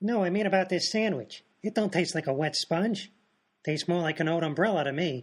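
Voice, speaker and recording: Using a put-on character voice, a man speaks at a high pitch and a fairly quick pace. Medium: audio drama.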